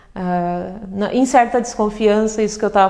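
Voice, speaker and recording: Moderate pace and medium pitch in a woman's voice. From southern Brazil, Passo Fundo, Rio Grande do Sul. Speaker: poet. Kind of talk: interview conversation. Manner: reflective, hesitant with repetitions.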